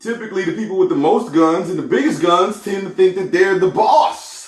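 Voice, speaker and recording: Using ordinary pitch variation, a man talks at a high pitch. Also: fairly quick pace. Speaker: podcast host. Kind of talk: solo commentary podcast. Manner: casual, conversational.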